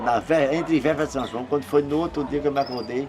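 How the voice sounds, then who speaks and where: A man with a fairly high pitch and ordinary pitch variation speaks against noticeable background noise. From Pernambuco, Brazil (Zona da Mata, Escada). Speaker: accordion player, musician. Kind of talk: interview, life story. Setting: at his home. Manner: halting, repeats words.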